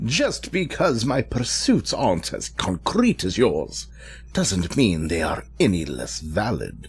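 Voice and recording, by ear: A man uses a put-on character voice at a slow pace. His pitch makes very wide swings. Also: fairly low pitch for a man.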